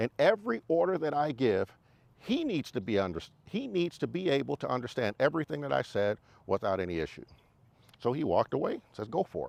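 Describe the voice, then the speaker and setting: Fairly high pitch for a man, with vocal fry, very wide pitch swings and a fairly quick pace, in a dry, close sound with no echo. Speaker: motorcycle riding instructor and YouTuber; navy veteran. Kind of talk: casual talk to camera. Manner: clear, well-spoken.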